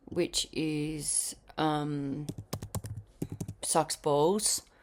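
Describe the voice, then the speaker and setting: A woman speaks with a very deep, low pitch. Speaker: singer and vlogger. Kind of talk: video diary. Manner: casual, filler-heavy.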